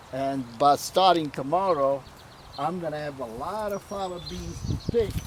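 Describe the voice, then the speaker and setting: The speaker has an Italian accent and talks at a fairly slow pace with ordinary pitch variation. Loudness swings widely from moment to moment. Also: man, fairly high pitch for a man. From Puglia, southern Italy. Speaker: home gardener. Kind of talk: interview answer. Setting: outdoors.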